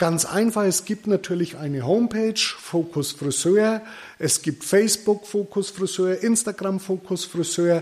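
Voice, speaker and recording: Man's high voice, fairly slow in pace and ordinary in pitch variation. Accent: Franconian. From Middle Franconia, Bavaria. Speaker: podcast host, hairdressing business owner. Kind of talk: solo podcast monologue.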